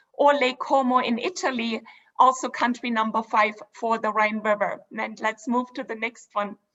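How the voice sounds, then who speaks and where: A woman with a German accent at a moderate pace, fairly high in pitch, with ordinary pitch variation. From Germany (Dresden). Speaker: cruise line executive. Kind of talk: sales presentation. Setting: virtual event.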